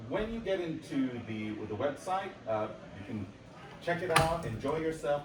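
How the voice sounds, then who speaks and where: Long, frequent pauses break up a man's fairly high-pitched speech, which has very wide pitch swings, audible room echo, and noticeable background noise. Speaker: software developer presenting a product. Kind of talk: conference demo presentation. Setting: stage with audience at a conference.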